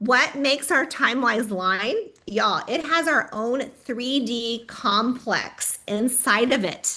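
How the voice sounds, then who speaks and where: In an animated tone, a woman speaks at a high pitch. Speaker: direct sales trainer. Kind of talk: training workshop.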